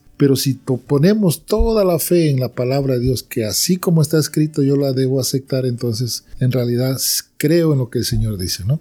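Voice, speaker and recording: A man with a normal speaking voice, medium pitch, lively intonation and a moderate pace. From Peru. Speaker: church member giving testimony. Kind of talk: religious conversation.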